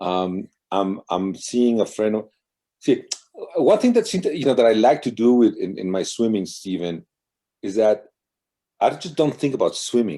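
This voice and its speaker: With long, frequent pauses, a man talks in a dark, mellow tone and lively intonation. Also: medium pitch for a man, moderate pace. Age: 60s. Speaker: marathon swimmer. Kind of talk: interview. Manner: halting.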